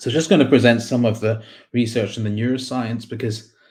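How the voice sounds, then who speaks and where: Fairly quick, somewhat breathy speech from a man with a Scottish accent, medium in pitch, with fairly even intonation. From Scotland, Glasgow. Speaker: psychiatrist and researcher. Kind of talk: conference talk. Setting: online conference with slides.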